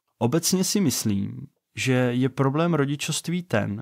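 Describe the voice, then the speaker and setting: A man speaks at a very slow pace with lively intonation, in a very clean recording with a silent background and a dry, close sound with no echo. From Czech Republic, Vysočina region. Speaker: podcast host, father and software developer. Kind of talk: podcast introduction monologue. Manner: casual, conversational.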